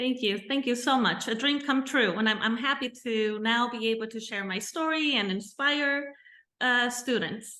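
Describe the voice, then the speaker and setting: A woman's high, bright, sharp voice at a moderate pace with ordinary pitch variation. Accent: Spanish. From Mexico and California. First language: Spanish. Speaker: bilingual teacher. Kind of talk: interview.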